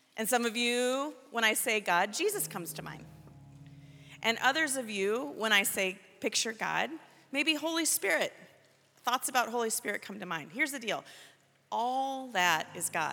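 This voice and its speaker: A woman's fairly high voice with lively intonation at a moderate pace, with long, frequent pauses and music in the background. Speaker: prayer minister. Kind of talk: guided prayer. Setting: church youth service. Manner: leads call-and-response.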